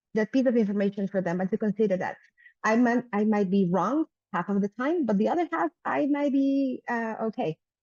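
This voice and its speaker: Here a woman speaks with a fairly high pitch and lively intonation. Her pace is fairly quick. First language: Spanish. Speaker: panelist. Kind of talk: panel discussion.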